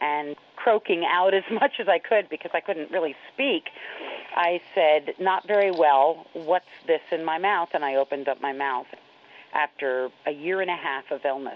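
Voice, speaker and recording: With an American accent, a woman in a normal speaking voice talks at a moderate pace, fairly low in pitch, with ordinary pitch variation. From New York. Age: 40s. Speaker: HIV educator and activist. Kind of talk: personal interview storytelling.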